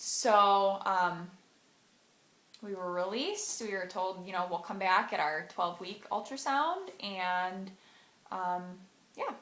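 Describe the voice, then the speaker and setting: Audible room echo surrounds a woman of medium pitch speaking at a fairly slow pace with ordinary pitch variation. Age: 20s. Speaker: vlogger sharing personal story. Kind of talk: personal testimony vlog. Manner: hesitant with frequent fillers.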